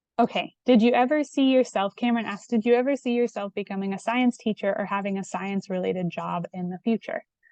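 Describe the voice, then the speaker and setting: A woman talks very fast with hardly any pauses, her pitch fairly high and her tone dark and mellow. Her pitch varies in an ordinary way, and the sound is dry and close with no echo. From Indiana, US Midwest. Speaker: PhD candidate, scientist. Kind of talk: Q&A talk to students. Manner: hesitant, many fillers.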